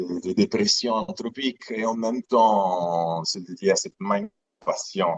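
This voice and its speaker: A man with an Italian accent talks at a fairly slow pace. The sound is dry and close, with no echo. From Italy, Aeolian Islands (Sicily). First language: Italian (speaking French). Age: 30s. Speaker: aquarium business founder. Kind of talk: live interview presentation. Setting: live stream. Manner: halting, repeats words.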